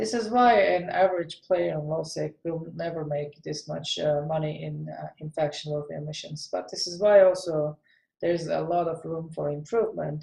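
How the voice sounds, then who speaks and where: A non-native accent marks this speech, delivered at a moderate pace. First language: not English. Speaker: gaming video creator. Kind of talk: tutorial. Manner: hesitant, many fillers.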